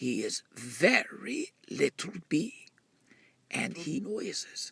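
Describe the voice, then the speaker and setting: Whispering in a put-on character voice, a man speaks at a very slow pace. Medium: read story. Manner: whispering, knowing.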